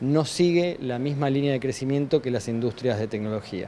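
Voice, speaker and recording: Over light background noise, a man talks at a fairly quick pace. His tone is dark and mellow, with ordinary pitch variation. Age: 40s. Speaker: tech industry representative. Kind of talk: news interview. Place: office. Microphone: handheld.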